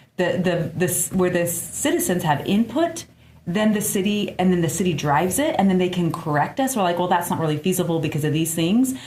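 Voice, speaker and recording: A woman speaks at a medium pitch with very even loudness. Audible room echo fills the recording. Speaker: community member in discussion. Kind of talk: casual discussion. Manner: emotional and passionate.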